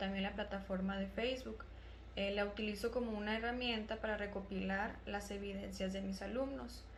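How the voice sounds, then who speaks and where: Over noticeable background noise and audible room echo, a woman at medium pitch talks at a moderate pace in a monotone, flat intonation. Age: 20s. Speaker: primary school teacher. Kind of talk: prepared testimony.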